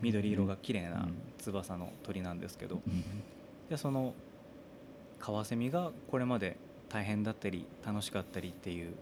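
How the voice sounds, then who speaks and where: Here a man speaks in a fairly low pitch at a moderate pace, with ordinary pitch variation. He leaves long, frequent pauses. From Japan, Saga Prefecture. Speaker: singer-songwriter. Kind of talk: casual chat.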